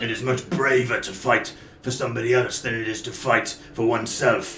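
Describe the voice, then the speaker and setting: In a put-on character voice, a raspy man at medium pitch talks at a fairly quick pace, with slight echo and clear background noise. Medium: actual play. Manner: blunt, menacing.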